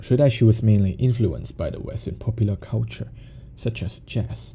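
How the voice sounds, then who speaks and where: A man speaks with a Cantonese accent at a moderate pace. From Hong Kong. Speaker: music podcaster. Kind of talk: podcast monologue.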